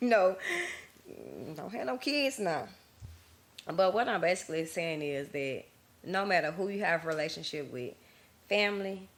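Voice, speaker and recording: A woman at a medium pitch speaks with long, frequent pauses. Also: moderate pace. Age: 30s. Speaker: podcast host. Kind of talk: casual monologue. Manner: monotone.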